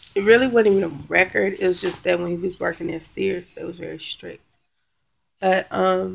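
Moderate pace from a woman's voice. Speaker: vlogger. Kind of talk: casual vlog chat. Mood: frustrated, venting. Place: home room. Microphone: webcam.

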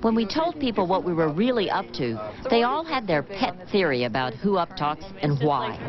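Over noticeable background noise, a woman speaks at a moderate pace and medium pitch, with very wide pitch swings and very even loudness. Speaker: TV news reporter. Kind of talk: TV news report narration.

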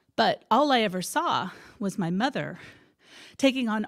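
A woman with a fairly high voice makes very wide pitch swings against a quiet background. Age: 50s. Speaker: speaker at a spiritual center. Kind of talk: talk to a congregation. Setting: stage with audience. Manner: halting, many fillers. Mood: heartfelt, reflective. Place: church. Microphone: handheld.

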